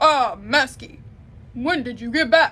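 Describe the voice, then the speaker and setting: Using a put-on character voice, a woman speaks at a fairly slow pace with a high pitch. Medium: read story.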